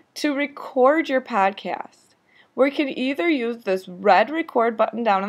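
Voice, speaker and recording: Over a silent background in a very clean recording, a woman speaks at a moderate pace with very wide pitch swings. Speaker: teacher. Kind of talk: tutorial. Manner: instructional.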